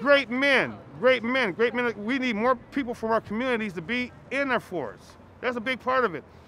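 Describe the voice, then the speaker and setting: Raised and projected, a man's voice rings at an extremely high pitch with a bright, sharp tone, ordinary pitch variation, and a moderate pace. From Minnesota. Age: 60s. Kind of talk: street interview testimony. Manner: halting.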